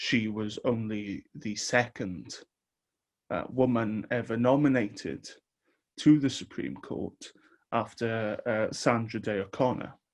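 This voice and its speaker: A man with a British accent talks at a fairly slow pace, his medium pitch showing ordinary variation, on a very clean recording with a silent background. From Wales. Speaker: podcast host. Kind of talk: podcast intro and tribute.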